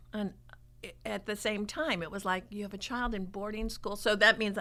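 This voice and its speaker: Bright and sharp in tone, a woman speaks at a medium pitch with fairly even intonation. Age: 60s. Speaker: preschool staff member, dating guest. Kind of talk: casual interview chat.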